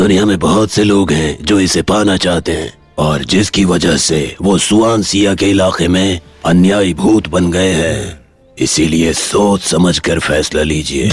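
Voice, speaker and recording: A man uses a put-on character voice with a very deep, low pitch. He speaks at a moderate pace over faint music in the background. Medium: fan dub. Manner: measured, knowing.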